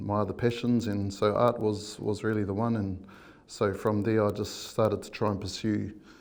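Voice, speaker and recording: A man speaks with monotone, flat intonation amid audible room echo. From New Zealand, Bay of Plenty (Kawerau, Tauranga). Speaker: artist. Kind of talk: interview. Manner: many fillers and hesitations.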